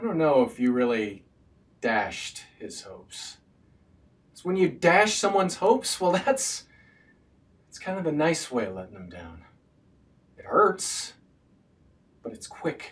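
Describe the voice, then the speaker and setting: Speaking at a fairly slow pace, a man leaves long, frequent pauses. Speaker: actor. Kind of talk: acting monologue. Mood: wry, gently reproachful.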